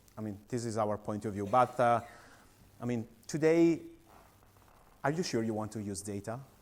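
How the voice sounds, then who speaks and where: A man with an Italian accent, medium pitch and ordinary pitch variation, at a moderate pace with long, frequent pauses. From Italy. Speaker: company founder and CEO. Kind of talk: conference presentation. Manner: halting, many fillers.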